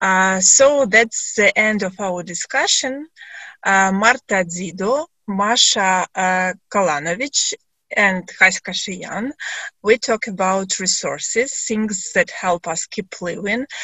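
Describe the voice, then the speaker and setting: A woman talks very slowly with a Ukrainian accent. Her pitch is medium, with ordinary variation. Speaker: discussion moderator. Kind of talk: panel discussion moderation. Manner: halting.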